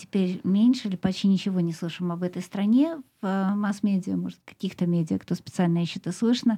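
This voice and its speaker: A woman speaks very fast in a medium-pitched, dark, mellow voice that is somewhat breathy, with ordinary pitch variation. The recording is very clean, with a silent background. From Russia, Moscow. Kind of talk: radio show. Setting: studio.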